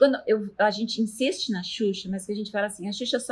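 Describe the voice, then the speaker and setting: A woman talks very fast at a fairly high pitch. Her voice is somewhat breathy, with ordinary pitch variation. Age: 50s. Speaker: university professor. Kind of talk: interview.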